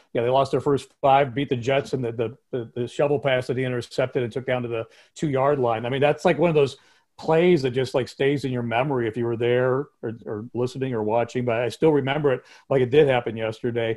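With an unremarkable speaking voice, a man at medium pitch talks at a fairly quick pace with fairly even intonation against a quiet background. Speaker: former radio announcer. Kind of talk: casual interview chat.

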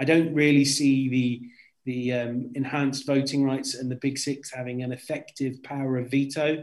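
With a British accent, a man speaks at a moderate pace. His pitch sits fairly high, and his intonation stays monotone and flat. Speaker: football journalist. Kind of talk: casual chat. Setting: remote recording.

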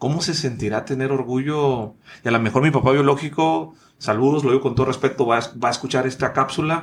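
A man's somewhat breathy voice, medium in pitch, at a moderate pace with ordinary pitch variation. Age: 30s. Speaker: podcast host and speaker. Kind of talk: casual interview. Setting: studio.

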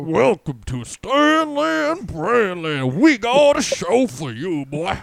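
A man puts on a character voice, pitched high, with very wide pitch swings at a fairly slow pace, in a very clean recording with a silent background. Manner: playful, goofy.

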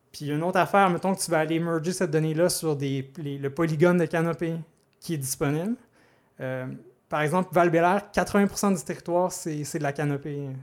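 In a very clean recording with a silent background, a man with a Quebec accent speaks at a moderate pace in a high pitch, his intonation fairly even. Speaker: data scientist. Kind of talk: casual interview. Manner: halting, repeats words.

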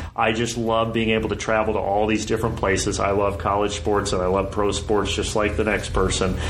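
With an American accent, a man speaks in a fairly low pitch with monotone, flat intonation, very even loudness and hardly any pauses, while audible room echo and noticeable background noise fill the recording. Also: fairly quick pace. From US Midwest (southern Indiana). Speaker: sports play-by-play broadcaster. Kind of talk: casual interview.

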